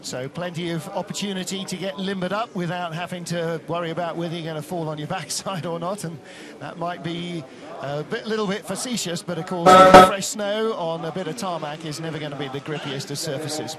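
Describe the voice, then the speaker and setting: Over noticeable background noise, a man speaks at a fairly quick pace. His pitch is high and his intonation fairly even. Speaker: sports commentator. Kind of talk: live commentary. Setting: outdoors at ice track, commentary booth.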